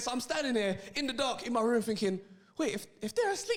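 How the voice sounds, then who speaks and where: A man with a London accent talks very fast in an animated tone at an extremely high pitch. Audible room echo and noticeable background noise surround him. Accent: London, multicultural London English. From South London. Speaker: comedian. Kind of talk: stand-up. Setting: stage with audience.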